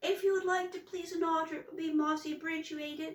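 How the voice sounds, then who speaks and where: In a put-on character voice, a woman talks at a fairly quick pace, extremely high-pitched, squeaky and shaky. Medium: read story. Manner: meek, timid.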